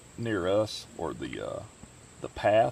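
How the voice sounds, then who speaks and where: This is a man speaking. He has a Southern Illinois accent. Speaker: hiking YouTuber and emergency management specialist. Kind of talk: casual interview.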